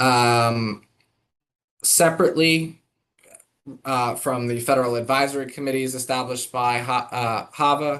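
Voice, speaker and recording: With long, frequent pauses, a man speaks at medium pitch and with fairly even intonation. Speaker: government staff presenter. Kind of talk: formal presentation at virtual meeting. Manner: fast.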